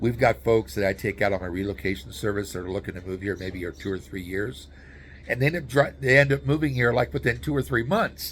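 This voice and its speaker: Very fast in pace, a man talks with an American accent and vocal fry. His fairly low pitch swings very widely. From US Southwest, New Mexico. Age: 60s. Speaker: YouTuber and relocation guide. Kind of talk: casual informational vlog. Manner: casual, with frequent fillers and restarts.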